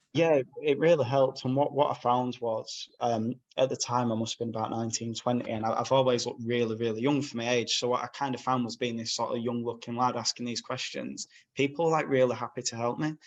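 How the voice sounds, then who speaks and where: With a Yorkshire accent, a man talks at a very fast pace. His pitch is medium and his intonation fairly even. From northern England, Bradford, West Yorkshire. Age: 20s. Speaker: magazine owner and property sourcer. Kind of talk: podcast interview. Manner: casual, frank.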